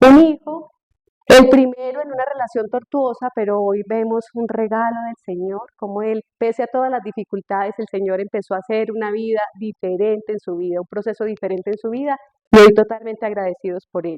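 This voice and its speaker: A woman talks at a fairly quick pace in a fairly high pitch. Her pitch varies in an ordinary way, and her loudness swings widely. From Colombia, Tolima. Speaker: speaker on marriage. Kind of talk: testimony.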